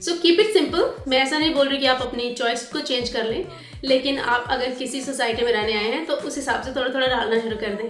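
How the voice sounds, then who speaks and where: A woman with a high pitch and ordinary pitch variation speaks at a moderate pace with hardly any pauses. Music plays in the background, and room echo is audible. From India. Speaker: vlogger. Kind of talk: casual vlog tips. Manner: code-switching Hindi and English.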